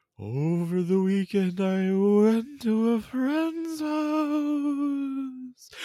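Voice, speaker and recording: The speaker uses a put-on character voice at a fairly high pitch. The pace is very slow, with hardly any pauses. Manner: eerie.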